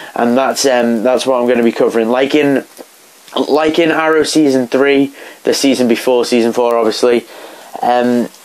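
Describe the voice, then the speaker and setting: A man speaks at a moderate pace with a medium pitch and fairly even intonation over noticeable background noise. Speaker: YouTuber, TV show reviewer. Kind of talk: casual vlog commentary. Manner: halting, many fillers.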